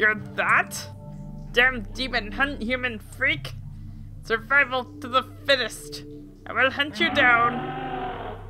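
A female-sounding voice speaks very slowly in a put-on character voice, pitched high, with clear music in the background. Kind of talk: growling, threatening. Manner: menacing.

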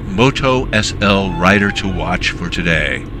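The delivery is very slow, with ordinary pitch variation and noticeable background noise behind it. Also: man. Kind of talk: live race commentary of a virtual motorcycle race, play-by-play.

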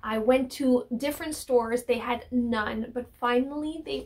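A woman talks slowly at a fairly high pitch, with ordinary pitch variation.

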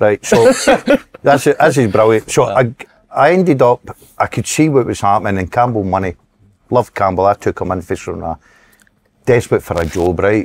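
A man with a Scottish accent speaks with lively intonation. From Scotland. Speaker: former footballer and manager; guest. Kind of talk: casual chat. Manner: animated. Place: studio.

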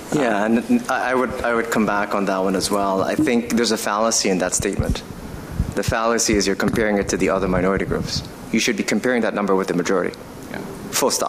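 A man's fairly low voice at a very fast pace, fairly even in intonation, over noticeable background noise. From Aruba, Dutch Caribbean. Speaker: banker; panelist. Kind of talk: panel discussion. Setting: stage with audience. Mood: firm, assertive. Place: stage. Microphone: podium.

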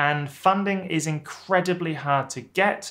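Speaking with a British accent, a man goes at a very slow pace. His pitch varies in an ordinary way over a quiet background. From UK. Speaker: YouTuber and former academic chemist; academic advice youtuber. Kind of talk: vlog advice talk to camera. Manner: casual, with frequent fillers. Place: office.

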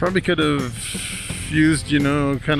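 Over clear background music, a man talks with fairly even intonation in a dry sound with no echo. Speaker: motorcycle reviewer. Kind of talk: casual moto vlog commentary. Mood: amused, curious. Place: motorbike. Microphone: helmet.

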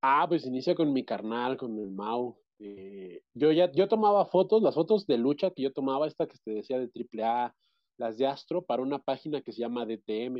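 Over a quiet background, the speaker uses lively intonation and big swings in loudness at a moderate pace. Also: man. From central Mexico, State of Mexico. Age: 30s. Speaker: interviewee. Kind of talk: interview. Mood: relaxed, reminiscing. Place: home room. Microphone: video call.

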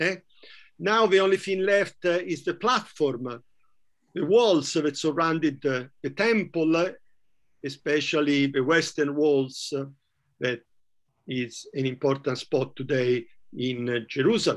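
A man with an Italian accent speaks at a fairly high pitch and a fairly slow pace, with lively intonation. Long, frequent pauses break up his speech over a quiet background. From Italy, Florence; Italy. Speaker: professor. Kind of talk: lecture. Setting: video call. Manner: halting. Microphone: video call.

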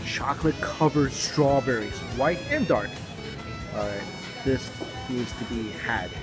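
Clear music plays behind a man talking at a fairly slow pace. His pitch varies in an ordinary way. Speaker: food vlogger. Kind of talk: casual vlog chat. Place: cafe. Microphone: phone near.

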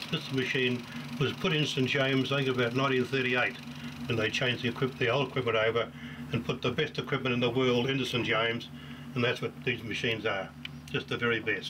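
Noticeable background noise sits behind a man talking very fast. His loudness stays very even. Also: fairly even intonation. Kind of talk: interview answer. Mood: fond, proud. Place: home room.

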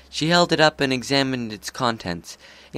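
The text is given as plain reading aloud, its pitch varying in an ordinary way.

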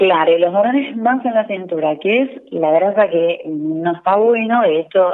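Lively intonation marks this woman's a normal speaking voice, pitched fairly low and delivered at a fairly slow pace. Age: 40s. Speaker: nutritionist. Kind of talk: interview. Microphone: echo.

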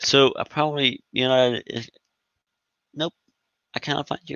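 Man with medium pitch, vocal fry, a fairly bright tone, lively intonation and a slow pace

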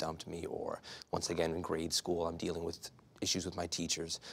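A man with a very deep, low voice talks at a fairly quick pace in an American accent. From New York. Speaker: addiction therapist; guest. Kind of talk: interview. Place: studio.

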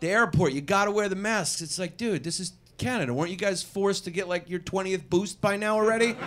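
In a New York accent, a man with a high pitch talks in an animated tone at a very fast pace, with ordinary pitch variation and hardly any pauses. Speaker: comedian; stand-up comedian. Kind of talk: improvised stand-up. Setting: stage with audience. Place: stage. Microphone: handheld.

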